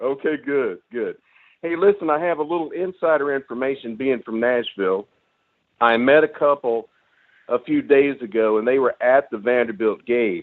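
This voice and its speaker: With an ordinary speaking voice, a man talks in a medium pitch at a moderate pace, his pitch varying in an ordinary way. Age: 60s. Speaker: caller. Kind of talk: call-in radio talk.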